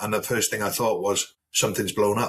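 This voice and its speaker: With a South Wales accent, a man talks at a fairly quick pace in a fairly low pitch. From South Wales, Newport. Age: 50s. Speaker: army veteran. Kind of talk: casual chat.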